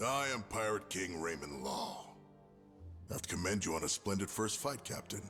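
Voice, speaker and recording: A man puts on a character voice with a fairly low pitch at a moderate pace. Clear music plays in the background. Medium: video game.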